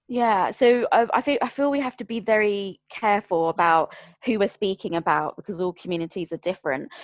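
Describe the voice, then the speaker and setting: A woman with a London accent talks at a fairly quick pace, medium pitch and lively intonation, in a dry, close sound with no echo. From Greater London. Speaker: bereavement support worker and podcaster. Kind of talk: casual interview chat.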